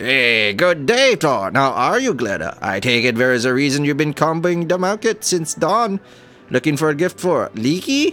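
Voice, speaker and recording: In a gruff put-on character voice, a man with a fairly high pitch swings very widely in pitch at a moderate pace, with clear music in the background. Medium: game stream.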